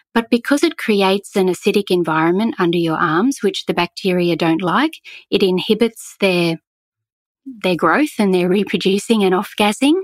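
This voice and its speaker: A woman with an Australian accent speaks at a moderate pace, medium in pitch with ordinary pitch variation and very even loudness. The sound is dry and close with no echo, in a very clean recording with a silent background. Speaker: eco store founder. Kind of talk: interview.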